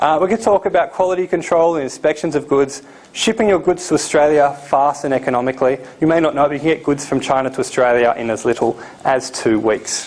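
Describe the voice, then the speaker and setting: A man's fairly high voice at a very fast pace, ordinary pitch variation, and noticeable background noise. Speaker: seminar presenter on importing. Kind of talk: live seminar presentation. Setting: seminar room with live audience.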